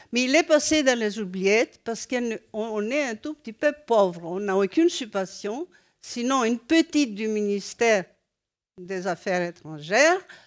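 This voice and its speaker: Her pitch swings very widely. The woman's voice sits fairly high. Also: dry, close sound with no echo. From Greece. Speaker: former NGO president, audience member. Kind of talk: audience intervention at round table. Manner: halting.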